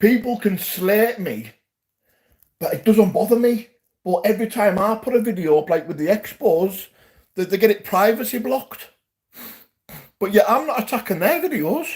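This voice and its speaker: A man's high-pitched, animated voice with a Geordie accent, ordinary pitch variation and long, frequent pauses. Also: moderate pace. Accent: Geordie (Newcastle). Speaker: YouTube live streamer. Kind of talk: livestream chat to viewers.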